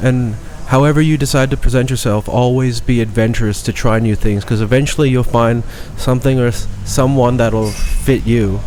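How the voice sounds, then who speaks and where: A man speaks at a medium pitch and a moderate pace, with fairly even intonation and very even loudness. Room echo is audible. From Thailand (Bangkok), half Thai half British. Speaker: chef. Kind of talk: podcast interview. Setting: studio with headset microphones. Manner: fluid, natural.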